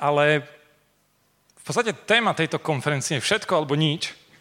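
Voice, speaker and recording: In a very clean recording with a silent background, a man speaks at a moderate pace in a bright, sharp tone. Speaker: preacher. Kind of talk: sermon.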